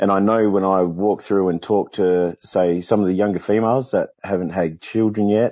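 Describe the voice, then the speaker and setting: A man speaks with an Australian accent in a very deep, low pitch, with ordinary pitch variation at a moderate pace. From Western Australia. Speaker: caller working in prison sector. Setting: video call.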